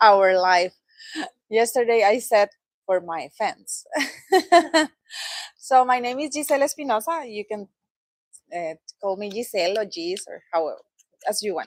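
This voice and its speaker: A woman with a Latin American accent speaks at a fairly high pitch with lively intonation, big swings in loudness, long, frequent pauses, and a dry, close sound with no echo. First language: Spanish. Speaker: product trainer. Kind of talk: training presentation. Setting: training session with live audience.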